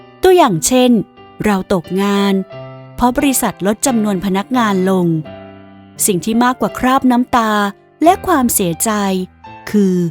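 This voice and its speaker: Lively intonation carries the voice over music in the background. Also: woman, fairly high pitch for a woman. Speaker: voice actor. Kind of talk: inspirational audiobook narration.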